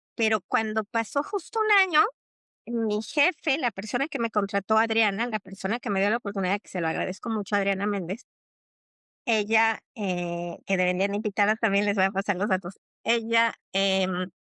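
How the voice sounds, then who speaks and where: This woman's pitch is fairly high with ordinary variation, and she keeps a moderate pace. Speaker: psychologist and teacher. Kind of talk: podcast interview.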